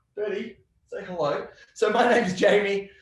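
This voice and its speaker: Speaking with an Australian accent, a man uses lively intonation. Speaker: software company representative. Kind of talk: casual interview.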